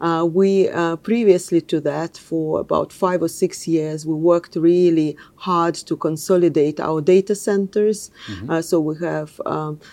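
A woman speaks in a Russian accent with a dark, mellow tone and a fairly low pitch. Her pace is fairly slow, with ordinary pitch variation. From Russia (Moscow). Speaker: technology executive. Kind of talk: interview.

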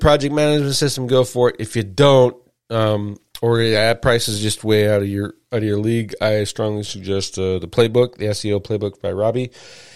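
With an ordinary speaking voice, this man's speech is fairly quick, medium in pitch, and ordinary in pitch variation. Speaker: SEO show host. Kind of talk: solo live show monologue. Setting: live stream.

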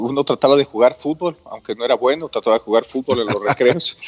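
Here a man talks at a fairly quick pace in a plain, everyday voice. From Ecuador, Quito. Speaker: business chamber president. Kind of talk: radio interview.

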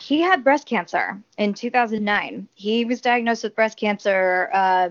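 Using a normal speaking voice, a woman with an American accent talks fairly slowly at a fairly high pitch with ordinary pitch variation. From California. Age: 30s. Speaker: sports journalist. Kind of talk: casual interview.

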